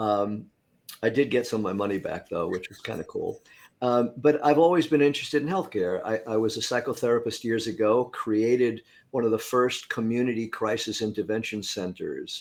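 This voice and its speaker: On a very clean recording with a silent background, a man with an American accent and an ordinary speaking voice talks at a fairly quick pace in a medium pitch, with ordinary pitch variation and big swings in loudness. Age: 60s. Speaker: inventor and former psychotherapist. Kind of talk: interview.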